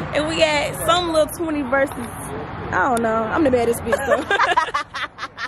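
With crowd noise in the background, a woman speaks at a high pitch and a very slow pace with lively intonation. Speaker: vlogger. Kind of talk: casual vlog chat. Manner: animated.

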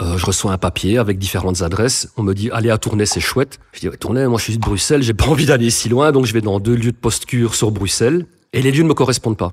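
A man talks at a very fast pace with hardly any pauses, his medium-pitched voice somewhat breathy and ordinary in pitch variation. The recording is very clean, with a silent background. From Belgium, Brussels suburbs. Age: 40s. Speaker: recovering addict, content creator. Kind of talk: testimony.

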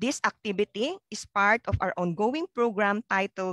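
A woman at a moderate pace, dry with no echo, against a quiet background. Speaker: event host. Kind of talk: formal emcee opening remarks. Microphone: headset.

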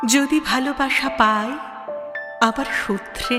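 A woman's voice with music in the background. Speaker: professional reciter. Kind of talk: poetry reading. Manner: emotional.

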